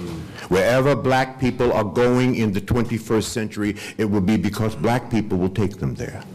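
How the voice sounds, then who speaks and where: A man at a moderate pace. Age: 60s. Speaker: panel speaker. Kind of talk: panel talk. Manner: animated.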